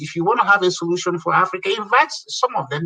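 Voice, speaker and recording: The voice is raised and projected. It moves at a very fast pace. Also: man. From Nigeria. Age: 60s. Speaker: community leader. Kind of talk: casual chat. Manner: animated.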